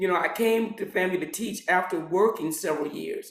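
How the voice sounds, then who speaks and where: A man speaks at a high pitch. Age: 60s. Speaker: pharmacist and retired pharmacy professor. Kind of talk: interview. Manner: many fillers and repetitions.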